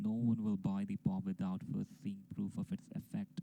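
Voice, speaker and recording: Swinging very widely in pitch, a man speaks at a moderate pace in a dark, mellow tone. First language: not English. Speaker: amateur story narrator. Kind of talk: casual intro; reading aloud.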